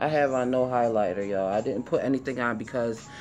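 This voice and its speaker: A woman with a very deep, low pitch talks over music playing in the background. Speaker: beauty vlogger. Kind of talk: casual makeup tutorial chat. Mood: relaxed, playful. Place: home room. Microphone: phone near.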